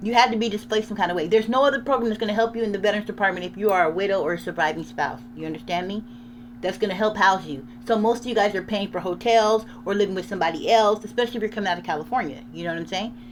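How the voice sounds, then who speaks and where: At a very fast pace, a woman with a medium pitch speaks in an animated tone with lively intonation. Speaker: channel owner sharing VA loan experience. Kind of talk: casual commentary.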